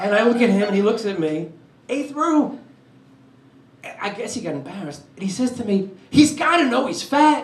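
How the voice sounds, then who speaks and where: With a New York accent, a man talks at a moderate pace at an extremely high pitch, with very wide pitch swings and long, frequent pauses. Noticeable background noise and audible room echo are present. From New York, Brooklyn. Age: 60s. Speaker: comedian. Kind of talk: stand-up. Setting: stage with audience.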